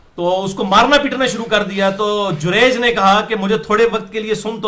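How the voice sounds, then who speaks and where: The voice is raised and projected, with noticeable noise in the background. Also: man. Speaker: Islamic preacher giving a lecture. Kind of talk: Islamic sermon / religious lecture in Urdu-Punjabi mix. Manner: lecturing, conversational, storytelling with asides.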